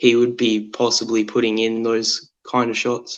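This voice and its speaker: Speaking with an Australian accent, a man keeps his medium-pitched voice monotone, with flat intonation. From Tasmania, Australia. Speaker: football fan caller. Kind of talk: casual chat.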